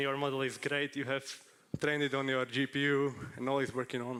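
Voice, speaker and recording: A man with fairly high pitch at a moderate pace. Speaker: conference speaker on machine learning. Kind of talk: conference talk. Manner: halting.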